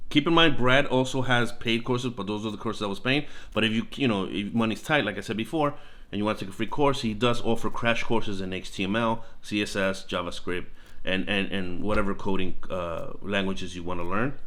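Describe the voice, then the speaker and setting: Audible room echo surrounds a man speaking at a fairly quick pace in a bright, sharp tone, with a fairly low pitch and ordinary pitch variation. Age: 40s. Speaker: online course reviewer, YouTuber. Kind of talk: screen-share tutorial review. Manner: halting, many fillers and restarts; encouraging, motivational.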